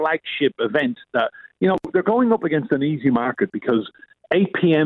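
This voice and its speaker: This man talks at a moderate pace in an Irish accent. His pitch swings very widely. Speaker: UK correspondent. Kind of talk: casual news chat. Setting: phone call.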